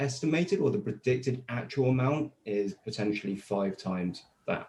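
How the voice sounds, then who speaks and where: A man talks at a moderate pace and medium pitch, his tone dark and mellow. His voice is somewhat breathy, with lively intonation. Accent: British. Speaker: crypto compliance company representative. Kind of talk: webinar presentation. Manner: hesitant, with repetitions.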